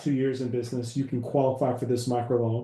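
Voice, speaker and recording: Somewhat breathy and dark, mellow in tone, a man speaks at a fairly quick pace with audible room echo. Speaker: business credit educator. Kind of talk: webinar presentation. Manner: fast.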